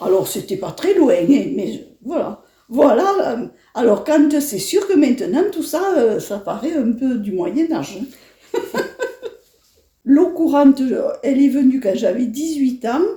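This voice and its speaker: Very slowly, a woman speaks in a high voice with a dark, mellow tone and very wide pitch swings. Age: 70s. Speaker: elderly interviewee, former farm girl. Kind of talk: personal reminiscence interview. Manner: hesitant, many fillers.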